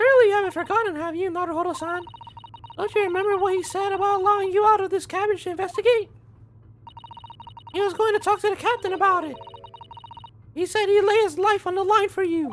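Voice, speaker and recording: A man's put-on character voice, squeaky and extremely high in pitch, rushed at a very fast pace with long, frequent pauses. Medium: game stream. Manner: formal, polite.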